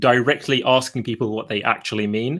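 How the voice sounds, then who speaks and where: In a British accent, a man speaks at medium pitch with ordinary pitch variation on a very clean recording with a silent background. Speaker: video creator. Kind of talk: casual chat.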